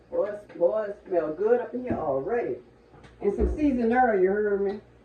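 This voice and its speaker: A woman speaks at medium pitch with lively intonation and a moderate pace. There is noticeable background noise. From New Orleans, Louisiana. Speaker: cooking channel host. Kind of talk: cooking tutorial. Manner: animated.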